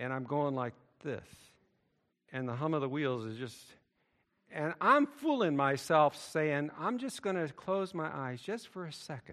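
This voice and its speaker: A man's fairly high voice at a fairly slow pace, animated and lively in intonation, with big swings in loudness and long, frequent pauses. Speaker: preacher. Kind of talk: sermon. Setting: church. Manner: animated, emphatic pulpit delivery with storytelling.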